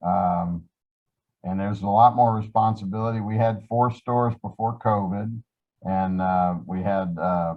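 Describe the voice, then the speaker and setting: A man's fairly low voice with an American accent, at a moderate pace with fairly even intonation. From upstate New York. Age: 60s. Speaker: Salvation Army officer. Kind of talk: interview. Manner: halting.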